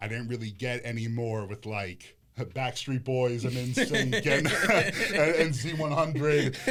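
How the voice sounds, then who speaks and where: A man with an American accent has a normal speaking voice, a medium pitch and ordinary pitch variation. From Connecticut, US. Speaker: rapper. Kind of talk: casual chat.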